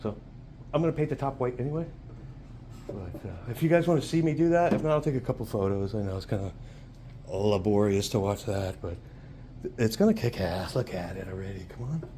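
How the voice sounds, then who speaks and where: Somewhat breathy with a dark, mellow tone, a man at a medium pitch talks at a fairly quick pace, with very wide pitch swings and long, frequent pauses. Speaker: RC hobby YouTuber. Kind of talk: casual hobby tutorial vlog. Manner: soft-spoken; fast.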